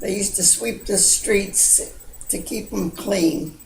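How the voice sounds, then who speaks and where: With audible room echo, a woman speaks at a very slow pace. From Baltimore, US (Little Italy). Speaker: grandmother recounting memories. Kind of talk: oral history storytelling. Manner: halting, with many fillers.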